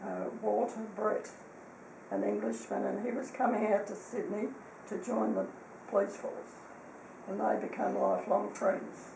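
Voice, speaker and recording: Through audible room echo and noticeable background noise, a woman with an Australian accent talks with long, frequent pauses. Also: fairly slow pace. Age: 80s+. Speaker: elderly relative recalling family history. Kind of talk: casual chat.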